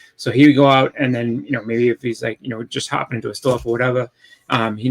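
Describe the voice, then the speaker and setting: Dry and close with no echo, a man with a Boston accent talks at a very fast pace, medium pitch and fairly even intonation. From Boston, Massachusetts. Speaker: comic collector. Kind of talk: casual interview chat. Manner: halting, many fillers.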